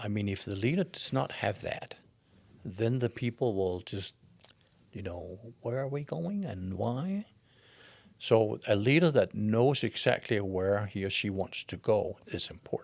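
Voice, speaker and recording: Fairly low in pitch, a man with a Danish accent speaks at a fairly slow pace with ordinary pitch variation. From Denmark. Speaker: leadership expert and coach. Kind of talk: interview answer.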